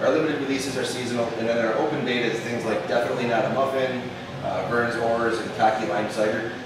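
The talk comes at a fast pace with fairly even intonation. Clear background noise and audible room echo surround it. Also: man, medium pitch for a man.

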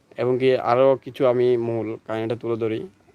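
A man's medium-pitched, monotone voice with flat intonation and a dry, close sound with no echo. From Bangladesh, Noakhali. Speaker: YouTuber. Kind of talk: casual talk to camera.

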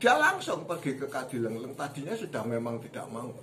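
A man's pitch varies in an ordinary way as he talks, with noticeable noise behind him. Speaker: storyteller. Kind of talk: storytelling narration. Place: home room. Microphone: phone near.

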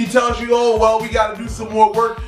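With faint music in the background and audible room echo, a man speaks at an extremely high pitch. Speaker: spiritual practitioner vlogger. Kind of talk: casual vlog chat.

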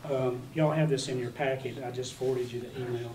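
Monotone, flat delivery in an American accent over noticeable background noise. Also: man. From US South. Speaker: county judge executive chairing meeting. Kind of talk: public meeting. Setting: meeting room. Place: meeting room. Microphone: camera far.

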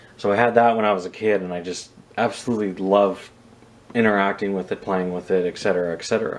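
A man talks fairly quickly in a fairly low pitch. It is a plain, everyday voice with fairly even intonation. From Canada. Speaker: scale model reviewer and airport worker. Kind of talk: casual video review. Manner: casual, with many filler words. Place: home room. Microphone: phone near.

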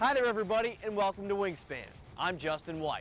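In a dry sound with no echo, a man talks with a high pitch. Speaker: TV sports show host. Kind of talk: presenter introduction to camera. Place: stadium. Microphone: lapel.

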